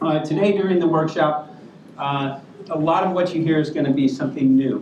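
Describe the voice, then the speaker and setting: Amid noticeable background noise and audible room echo, a man with an American accent speaks at a moderate pace with a fairly high pitch. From US, California. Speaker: workshop moderator, filmmaker. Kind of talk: panel introduction speech. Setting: conference room with audience.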